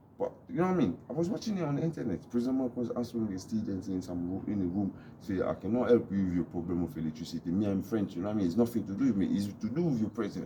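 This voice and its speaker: A man speaks at a very fast pace with lively intonation. Noticeable background noise runs beneath him. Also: fairly low pitch for a man, hardly any pauses. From DR Congo. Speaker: YouTube vlogger. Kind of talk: casual monologue vlog.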